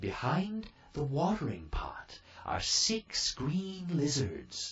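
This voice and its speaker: Put-on character voice from a man, very slowly paced and fairly high-pitched. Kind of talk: bedtime story. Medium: read story. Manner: kindly, brisk.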